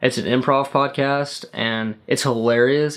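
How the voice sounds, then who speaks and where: The voice belongs to a man, pitched in the medium range. His intonation is fairly even. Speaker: YouTuber. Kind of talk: casual vlog talk to camera. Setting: sitting in front of the camera. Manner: fast; rambling.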